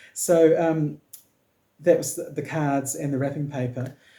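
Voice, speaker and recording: In a New Zealand accent, a man with a fairly high pitch talks in a somewhat breathy, dark, mellow tone with fairly even intonation. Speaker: knitting podcaster. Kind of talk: casual talk to camera.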